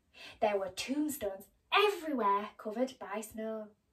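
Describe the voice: Lively intonation across plain reading aloud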